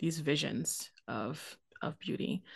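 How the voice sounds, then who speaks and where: Against a quiet background, a woman speaks in a very deep, low pitch with vocal fry. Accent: American. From US, Haitian American family. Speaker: theopoet and ministry worker. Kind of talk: casual chat.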